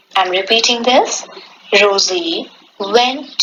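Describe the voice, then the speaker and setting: Talking at a very slow pace, a woman with a fairly high voice swings her pitch very widely, with audible room echo and noticeable background noise. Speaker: English professor. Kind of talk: lecture. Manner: formal.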